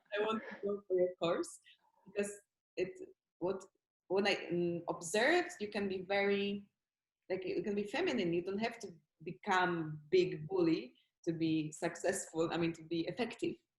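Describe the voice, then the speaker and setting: In a Polish accent, a woman of medium pitch speaks at a moderate pace, somewhat breathy, with ordinary pitch variation and long, frequent pauses. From Poland, Warsaw. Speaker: actress. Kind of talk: interview. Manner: halting.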